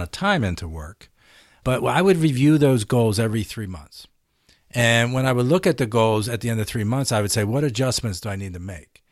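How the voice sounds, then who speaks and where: An American-accented man with an unremarkable speaking voice, medium pitch and lively intonation, on a very clean recording with a silent background. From US Northeast, Philadelphia. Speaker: former tech CEO and author. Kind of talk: interview.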